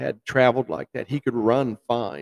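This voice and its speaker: A man speaks in a normal speaking voice at medium pitch and a moderate pace. The sound is dry and close with no echo, and his intonation is fairly even. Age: 60s. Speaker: bowhunter and record measurer. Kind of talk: casual interview. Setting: live at a festival, in a lobby.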